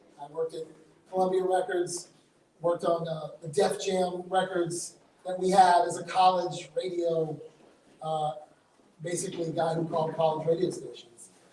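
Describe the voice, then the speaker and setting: Moderate pace with long, frequent pauses, in an American accent. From US West Coast, Oakland, California. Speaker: entrepreneur and conference speaker. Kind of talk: conference talk. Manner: casual, halting with fillers.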